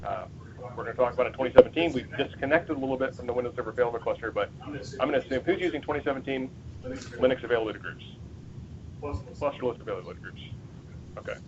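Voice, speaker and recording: Amid noticeable background noise, a man with a medium pitch speaks in an excited tone at a very fast pace, with ordinary pitch variation, big swings in loudness and long, frequent pauses. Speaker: Microsoft support engineer giving a user group talk. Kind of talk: technical presentation.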